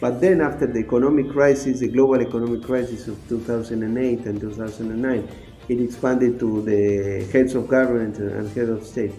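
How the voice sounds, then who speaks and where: Speaking at a fairly quick pace with fairly even intonation, a man is heard against noticeable background noise and audible room echo. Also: medium pitch for a man. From Argentina. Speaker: ambassador. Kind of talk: interview. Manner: halting, many fillers.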